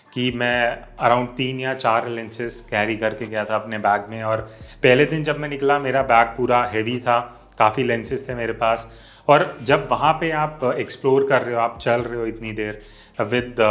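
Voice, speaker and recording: This man speaks at a fairly slow pace with fairly even intonation. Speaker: photography educator. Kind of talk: tutorial. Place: studio. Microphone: lapel.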